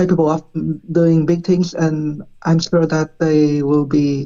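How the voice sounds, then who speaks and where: Very slow and monotone, a woman speaks with a very deep, low pitch and flat intonation. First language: not English. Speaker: esports player. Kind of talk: interview answers on live stream. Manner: halting.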